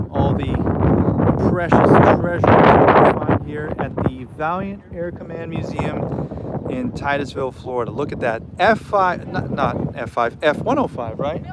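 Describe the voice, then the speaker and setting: A man speaks with lively intonation. Noticeable background noise runs behind him. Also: fairly high pitch for a man, fairly slow pace. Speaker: aviation YouTuber. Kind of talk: live stream commentary. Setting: outdoors at an airfield museum. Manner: casual, halting.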